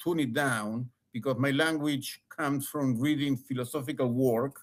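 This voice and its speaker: Speaking at a moderate pace in an Argentine accent, a man uses a fairly high voice with fairly even intonation. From Argentina. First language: Spanish. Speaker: former lawyer. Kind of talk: interview. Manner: halting, many repetitions; passionate.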